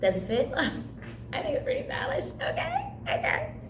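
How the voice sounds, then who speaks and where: Noticeable background noise surrounds a woman's voice. Room echo is audible too. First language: Haitian Creole. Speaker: summer camp craft instructor. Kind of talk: craft tutorial.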